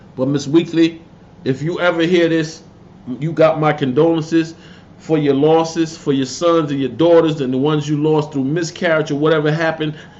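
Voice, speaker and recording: Against noticeable background noise, a man with an American accent and a fairly high pitch talks at a fairly quick pace. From Connecticut, New Haven. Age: 50s. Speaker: YouTuber commentator. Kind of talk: casual livestream rant. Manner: animated.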